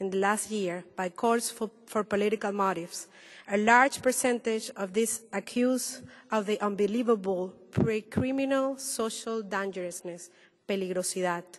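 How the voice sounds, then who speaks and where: Speaking at a moderate pace, a woman with a Spanish accent uses a fairly high pitch. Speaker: human rights activist. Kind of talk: panel presentation. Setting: roundtable with audience.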